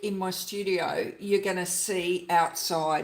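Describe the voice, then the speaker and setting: A woman speaks with an Australian accent. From Queensland, Australia. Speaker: junk journal crafter, YouTuber. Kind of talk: casual livestream chat. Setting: home craft studio livestream.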